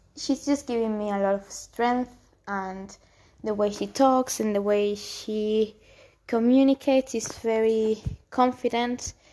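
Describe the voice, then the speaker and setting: A woman speaks with a dark, mellow tone at a fairly high pitch. Her pace is fairly slow. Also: fairly even intonation. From Spain, Canary Islands. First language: Spanish. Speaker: solo podcaster. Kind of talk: personal reflective monologue. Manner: halting.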